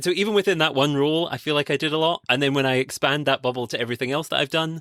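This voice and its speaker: A man with a Scottish accent, fairly high in pitch and bright, sharp in tone, at a very fast pace, in a very clean, dry, close recording with a silent background and no echo. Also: ordinary pitch variation. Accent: Scottish, noticeable. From Scotland. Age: 20s. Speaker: conservation podcast host and PhD student. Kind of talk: interview conversation.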